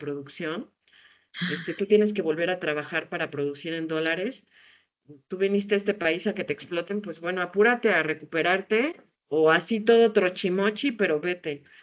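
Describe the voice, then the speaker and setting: A woman talks fairly quickly in a fairly low pitch, with ordinary pitch variation. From Mexico, Puebla (Tehuacán). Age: 40s. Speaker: theatre artist and storyteller. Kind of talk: interview. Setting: video call. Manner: animated.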